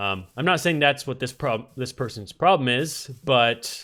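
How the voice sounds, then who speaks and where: The voice belongs to a man. He speaks at a moderate pace. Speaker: gaming YouTuber. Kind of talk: casual gameplay commentary. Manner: casual, hesitant with fillers.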